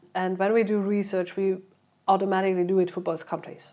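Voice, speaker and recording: A woman at medium pitch, fairly quick, with fairly even intonation. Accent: German. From Germany. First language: German. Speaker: PR and marketing head. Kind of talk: interview.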